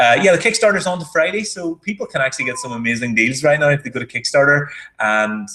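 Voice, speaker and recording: A man with an Irish accent speaks with lively intonation. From Ireland. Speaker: marketing entrepreneur. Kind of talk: casual chat.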